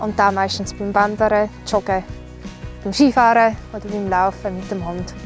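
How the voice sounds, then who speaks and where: A woman with an Appenzell accent speaks at a fairly slow pace in a dry sound with no echo, with clear music in the background. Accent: Swiss German, Appenzell dialect. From Appenzell, Switzerland. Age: 20s. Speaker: singer. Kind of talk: casual talk to camera. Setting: outdoors. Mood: relaxed, cheerful. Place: open country. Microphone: lapel.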